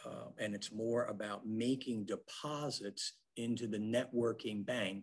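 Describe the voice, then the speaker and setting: A medium-pitched male voice in an American accent, with fairly even intonation. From Philadelphia area, US. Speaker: business networking speaker, former accountant. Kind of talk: webinar presentation. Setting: online webinar. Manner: many fillers (um, uh).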